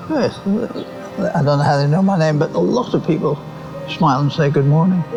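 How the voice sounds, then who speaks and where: Music plays in the background as a man speaks fairly quickly at a fairly high pitch with ordinary pitch variation. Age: 80s+. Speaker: local resident. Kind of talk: casual interview. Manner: halting.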